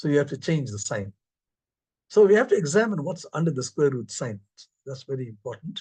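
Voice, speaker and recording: A man with a fairly high pitch and a dark, mellow, somewhat breathy tone makes very wide pitch swings and big swings in loudness. He leaves long, frequent pauses. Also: fairly quick pace. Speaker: mathematics professor. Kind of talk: lecture. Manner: fast.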